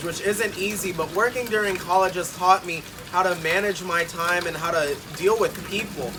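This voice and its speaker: A man with an American accent speaks loudly at a high pitch. His intonation is fairly even, and there is noticeable background noise. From Arkansas. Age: young. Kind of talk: audition tape talk to camera. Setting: outdoors.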